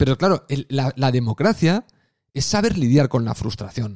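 A man with vocal fry and lively intonation, in a dry, close sound with no echo. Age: 40s. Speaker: podcast host. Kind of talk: solo monologue podcast. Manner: casual, conversational with fillers.

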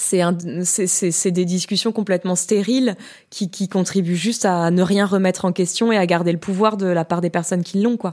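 Recorded very cleanly against a silent background, a woman talks in an ordinary speaking voice at a medium pitch. Her pace is moderate, her intonation fairly even and her loudness very even. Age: 30s. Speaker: podcaster and art historian. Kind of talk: casual interview.

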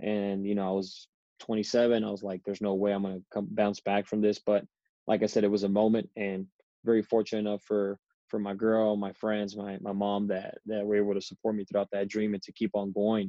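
In an American accent, a man speaks at a fairly quick pace with a fairly low pitch and monotone, flat intonation. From US South, Rio Grande Valley, Texas. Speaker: professional football kicker. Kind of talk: interview.

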